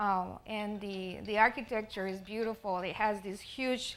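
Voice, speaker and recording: A woman speaks in a Spanish accent. Her pitch is medium and her pace moderate. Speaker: artist. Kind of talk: presentation. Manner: halting.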